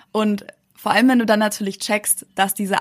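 Recorded very cleanly against a silent background, a woman speaks at a medium pitch in a somewhat breathy voice. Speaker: YouTuber and emigrant. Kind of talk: casual interview chat.

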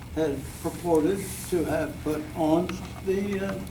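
Over noticeable background noise and audible room echo, a man talks in a high pitch. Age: 90s. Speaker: community member addressing school board. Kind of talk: public comment at meeting. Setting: school board meeting podium. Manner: halting.

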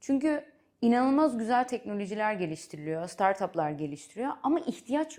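With a Dutch accent, a woman talks at a moderate pace in a fairly high pitch, her dark, mellow tone moving through very wide pitch swings. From Netherlands. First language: Dutch (speaking Turkish). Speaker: venture capital investor. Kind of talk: interview. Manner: halting, with fillers.

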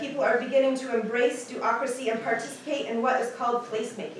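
A woman's high-pitched voice at a fairly quick pace, with audible room echo and light background noise. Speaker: presenter. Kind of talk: prepared talk. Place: hall.

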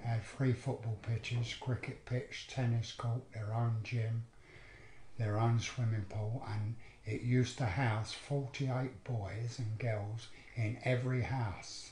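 Somewhat breathy, a man speaks at a very slow pace with monotone, flat intonation. There is audible room echo and light background noise. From London, Edmonton. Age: 70s. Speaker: abuse survivor. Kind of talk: testimony. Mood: sombre, reflective recollection. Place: home room.

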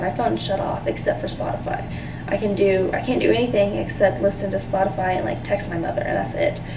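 Over noticeable background noise, a woman speaks at a fairly quick pace. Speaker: student vlogger. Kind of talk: casual vlog chat. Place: bathroom. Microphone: phone near.

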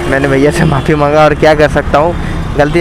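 A man speaks in a monotone, flat delivery. The sound is dry with no echo, and there is noticeable background noise. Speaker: bike taxi rider vlogger. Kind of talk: casual vlog chat. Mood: rueful after small accident. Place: motorbike.

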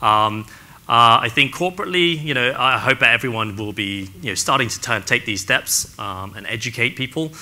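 Using an English accent, a man with a bright, sharp tone speaks at a moderate pace with lively intonation and big swings in loudness. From England. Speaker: real estate agent; panelist. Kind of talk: panel discussion. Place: stage.

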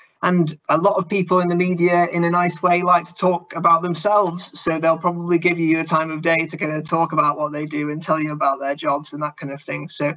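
A man with a fairly high pitch speaks at a fairly quick pace with few pauses, using a bright, sharp tone and a monotone, flat intonation.

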